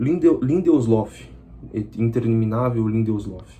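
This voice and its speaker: Somewhat breathy, the man's medium-pitched voice has a dark, mellow tone. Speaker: football fan channel presenter. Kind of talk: solo match analysis vlog. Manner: fast; casual, conversational.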